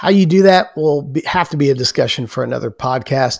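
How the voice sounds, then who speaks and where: On a very clean recording with a silent background, the speaker sounds somewhat breathy and talks at a fairly quick pace with lively intonation. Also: man. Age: 50s. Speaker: podcast host and jiu-jitsu practitioner. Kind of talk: solo podcast monologue.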